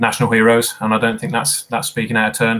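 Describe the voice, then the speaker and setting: Here is a man with a British accent. His pitch is fairly low and his tone is bright and sharp. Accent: regional British accent, noticeable. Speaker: quizmaster. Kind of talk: live quiz hosting. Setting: live stream. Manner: casual, chatty with fillers.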